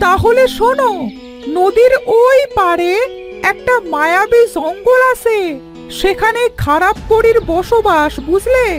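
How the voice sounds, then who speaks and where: Extremely high-pitched cartoonish character voice at a very slow pace over clear music in the background. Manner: warm, friendly.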